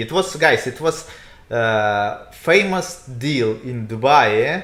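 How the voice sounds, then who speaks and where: A man speaks with a Russian accent at a medium pitch. His pace is very slow, with very wide pitch swings. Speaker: real estate agent. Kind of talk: casual chat. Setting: livestream. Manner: halting.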